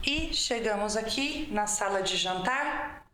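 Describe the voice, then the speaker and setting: A woman's fairly high-pitched voice with audible room echo and noticeable background noise. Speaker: DIY and home decor YouTuber. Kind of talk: casual home tour vlog.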